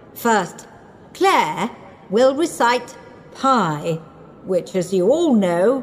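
Someone reads aloud in a natural voice.

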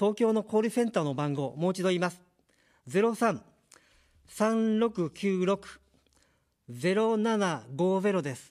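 A man's high-pitched voice, very slow, with lively intonation, big swings in loudness, long, frequent pauses, and a quiet background. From Japan, Kanagawa; Japan. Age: 50s. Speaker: political candidate; candidate. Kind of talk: campaign speech. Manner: formal. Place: studio. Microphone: studio mic.

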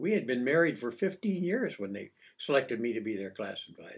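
Speaking with an American accent, a man swings his pitch very widely and shows vocal fry. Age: 90s. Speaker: retired coast guard officer. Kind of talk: casual chat. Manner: halting.

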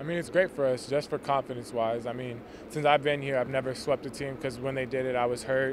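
Fairly quick male speech, dry with no echo, over noticeable background noise. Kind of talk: interview answer. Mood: pleased after a win. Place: stadium. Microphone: handheld.

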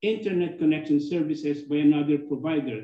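Dark, mellow tone from a man, ordinary pitch variation, audible room echo. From Philippines. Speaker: club president, lawyer; lawyer. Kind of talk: formal meeting remarks. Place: office. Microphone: video call.

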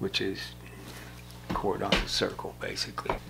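Music plays in the background as a man with an American accent speaks at a fairly slow pace. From US Midwest, Indiana. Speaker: war veteran. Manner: rambling and conversational, full of 'you know' and 'uh' fillers; blunt, wry and self-deprecating, with laughs and swearing. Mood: reflective, plainspoken. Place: shop.

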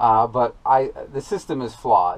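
A man is speaking here. His pace is fairly slow. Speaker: farmer vlogger. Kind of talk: casual vlog chat. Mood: mildly frustrated, explaining. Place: farm machine. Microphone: phone near.

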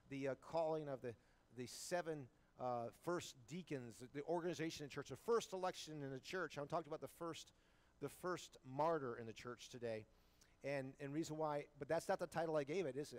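Fairly quick pace with ordinary pitch variation. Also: man. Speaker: pastor. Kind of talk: sermon. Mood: warm, joking. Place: church.

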